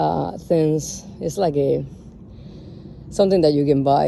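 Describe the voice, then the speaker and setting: The speaker talks at a fairly slow pace in a strong Cuban accent. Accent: Cuban Spanish accent, heavy. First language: Spanish. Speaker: home gardener vlogger. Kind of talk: casual garden walk-through vlog. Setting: outdoors in garden. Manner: casual, halting with fillers.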